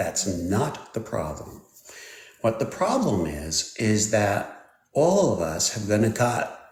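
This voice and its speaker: A man with a fairly low pitch speaks at a fairly slow pace, and the room echo is audible. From Switzerland. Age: 60s. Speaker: technology expert. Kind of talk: live stream interview. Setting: live stream.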